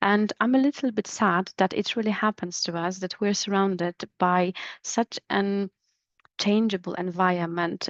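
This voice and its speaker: A woman with a Polish accent speaks at a fairly slow pace, her medium-pitched voice carrying fairly even intonation. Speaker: business English trainer. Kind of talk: educational podcast monologue. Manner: hesitant, with fillers.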